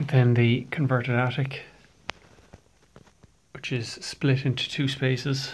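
A flat, monotone, somewhat breathy delivery at a very slow pace, with light background noise. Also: man. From Ireland. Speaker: estate agent / auctioneer. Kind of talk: property viewing walkthrough narration. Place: home room. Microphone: phone near.

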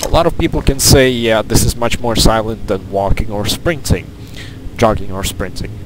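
A man at a fairly low pitch and fairly slow pace, with noticeable background noise. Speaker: gamer. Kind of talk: game tutorial commentary.

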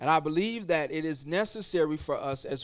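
Over a quiet background, a man talks at a moderate pace in a high pitch with ordinary pitch variation. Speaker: pastor. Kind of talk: sermon. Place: church. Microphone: handheld.

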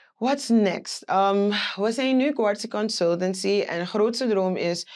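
A woman's voice shows ordinary pitch variation, and the background stays quiet. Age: 20s. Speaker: business owner; guest. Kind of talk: interview. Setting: studio. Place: studio. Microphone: lapel.

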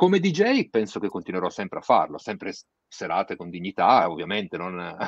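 Recorded with a dry sound and no echo over a quiet background, a man talks at a fairly quick pace with big swings in loudness. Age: 50s. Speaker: DJ and music producer; DJ. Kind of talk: interview. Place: home room. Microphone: video call.

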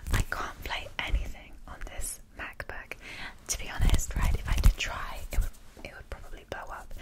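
At a moderate pace, the speech comes through over loud background noise. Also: woman. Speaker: ASMR creator. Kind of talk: casual soft-spoken ASMR chat. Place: home room. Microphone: studio mic.

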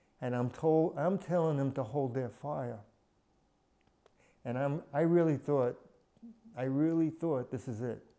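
Over a quiet background, a man speaks at a moderate pace. His tone is dark and mellow, and his intonation fairly even. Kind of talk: interview answer. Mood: earnest, reflective war memory. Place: home room. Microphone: lapel.

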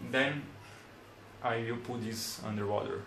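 The speech moves at a fairly slow pace. Audible room echo and light background noise surround it. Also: man. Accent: Brazilian. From Brazil. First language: Portuguese. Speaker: electronics hobbyist making tutorial videos. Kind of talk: tutorial. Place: home room.

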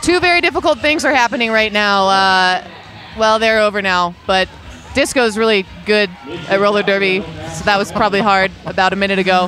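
Over light background noise, a woman talks at a fairly quick pace with lively intonation, the sound dry and free of echo. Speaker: roller derby commentator and skater; roller derby commentator. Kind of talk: sports commentary, explaining rules and jams; sports commentary. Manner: casual, chatty, jokey. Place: hall.

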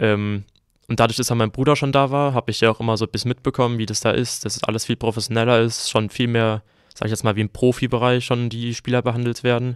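A man speaks at a very fast pace in a medium pitch with monotone, flat intonation. The recording is very clean with a silent background, and the sound is dry and close with no echo. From Germany, southern Hesse (Groß-Umstadt). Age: young. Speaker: handball player. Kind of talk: casual chat.

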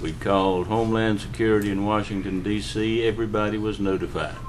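Noticeable background noise accompanies a man whose fairly low pitch and moderate pace carry his words. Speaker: county official. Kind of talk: public meeting discussion. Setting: county commissioners meeting room.

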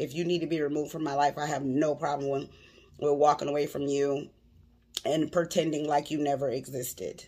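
A woman speaks at a very deep, low pitch and a moderate pace. Her intonation is monotone and flat. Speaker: vlogger commenting on a clip. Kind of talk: casual vlog chat. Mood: earnest, personal. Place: home room. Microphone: phone near.

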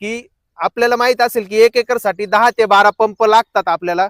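Extremely high in pitch for a man, his voice holds fairly even intonation. The sound is dry and close, with no echo. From Maharashtra, Akole taluka, Ahilyanagar district. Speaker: farmer and vlogger. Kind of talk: casual vlog narration. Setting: outdoors in a farm field.

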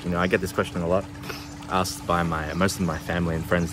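A man's very deep, low voice at a very fast pace, with an Australian accent and noticeable background noise. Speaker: travel vlogger. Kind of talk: casual vlog talk to camera. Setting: outdoors. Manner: halting, many fillers.

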